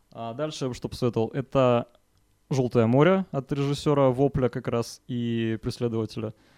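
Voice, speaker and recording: This man speaks at a moderate pace in a medium pitch, with a dark, mellow tone, fairly even intonation, and a dry, close sound with no echo over a quiet background. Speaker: film podcast co-host. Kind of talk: casual chat.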